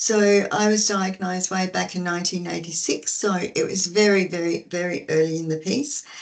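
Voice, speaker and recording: At a moderate pace, a woman with an Australian accent talks in a medium pitch. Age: 60s. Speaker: peer support worker. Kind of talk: webinar talk, personal testimony. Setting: online webinar.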